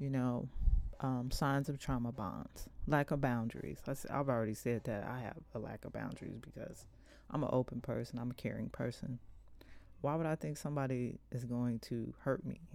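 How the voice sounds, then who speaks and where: A woman speaks with a very deep, low pitch and vocal fry, her pitch varying in an ordinary way. The recording is very clean, with a silent background. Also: moderate pace. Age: 50s. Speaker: podcast host. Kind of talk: solo talk on abuse with reading aloud.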